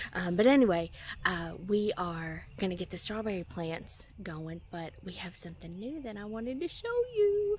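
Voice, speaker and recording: Her pitch sits at a medium level, and she keeps a moderate pace. The woman's loudness swings widely. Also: ordinary pitch variation. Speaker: homesteading vlogger. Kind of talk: casual vlog tutorial. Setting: at home. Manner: casual, hesitant with fillers.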